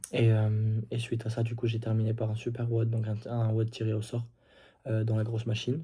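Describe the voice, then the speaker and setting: Soft-spoken and somewhat breathy, a man talks at a moderate pace at medium pitch, his dark, mellow tone delivered with monotone, flat intonation. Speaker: CrossFit athlete vlogger. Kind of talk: casual vlog recap. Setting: indoors at night. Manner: hesitant, many fillers.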